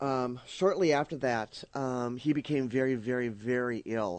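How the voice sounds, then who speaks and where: The sound is dry and close, with no echo. A man speaks at a medium pitch and a fairly slow pace, keeping his intonation fairly even. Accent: Minnesotan. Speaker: radio host. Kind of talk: casual chat. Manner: halting, many fillers and repeats.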